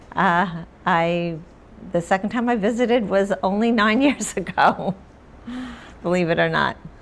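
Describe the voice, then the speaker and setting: A woman with an American accent speaks at a moderate pace and medium pitch, with ordinary pitch variation, very even loudness and long, frequent pauses. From Long Island, New York. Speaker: author. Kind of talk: interview. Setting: stage with audience.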